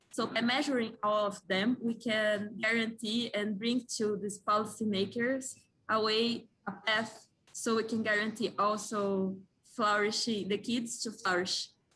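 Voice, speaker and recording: Her tone bright and sharp, a woman speaks at a fairly high pitch and a fairly slow pace with monotone, flat intonation. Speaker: young economist presenting a policy proposal. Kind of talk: conference presentation. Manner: halting, with self-corrections.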